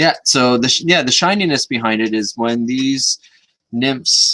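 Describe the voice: A man talks at a moderate pace in a fairly bright tone.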